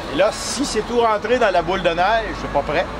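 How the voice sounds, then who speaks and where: Noticeable background noise runs under this recording. A man talks at a fairly quick pace. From Quebec, Canada. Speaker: maple syrup maker at a sugar shack stand. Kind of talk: casual demonstration explaining to visitors. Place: market.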